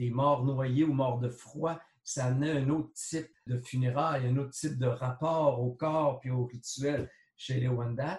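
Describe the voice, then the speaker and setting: A somewhat breathy man at a medium pitch, fairly slow and fairly even in intonation. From Quebec, Huron-Wendat nation. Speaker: sociologist and art critic. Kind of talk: interview.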